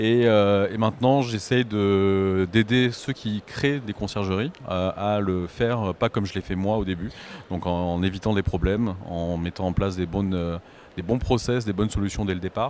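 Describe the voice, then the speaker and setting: Fairly low male voice at a moderate pace, with fairly even intonation. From southern France, Aix-en-Provence. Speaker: short-term rental consultant. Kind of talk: panel discussion. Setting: stage with audience at trade show. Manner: hesitant, many fillers.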